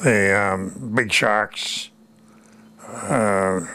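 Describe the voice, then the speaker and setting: Over noticeable background noise, a man with fairly low pitch talks with fairly even intonation. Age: 90s. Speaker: war veteran. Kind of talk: interview. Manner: halting.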